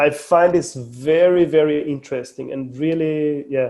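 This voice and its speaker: Speaking with an Austrian accent, a man uses a dark, mellow tone, fairly even intonation and a fairly slow pace. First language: German. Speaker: mobile phone company manager. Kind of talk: podcast interview. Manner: halting, many repetitions.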